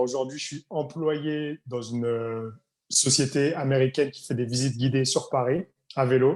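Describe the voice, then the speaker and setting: In a plain, everyday voice, a man of medium pitch talks at a fairly slow pace with fairly even intonation and big swings in loudness. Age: 30s. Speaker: English coach, tour guide. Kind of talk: interview conversation.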